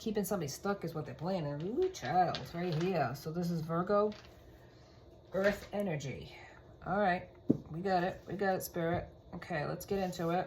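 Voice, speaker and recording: Somewhat breathy and fairly low in pitch, a woman speaks at a moderate pace with ordinary pitch variation and long, frequent pauses, amid audible room echo. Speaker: tarot reader. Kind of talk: tarot reading.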